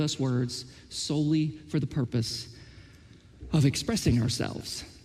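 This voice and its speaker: A man with an Oklahoma accent speaks at a fairly high pitch, his tone dark and mellow with vocal fry. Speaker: pastor. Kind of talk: sermon. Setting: church.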